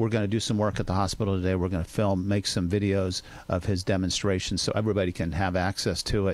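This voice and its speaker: This man has a fairly low pitch and speaks at a fairly quick pace. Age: 60s. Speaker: doctor on radio health segment. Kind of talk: radio interview. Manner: animated.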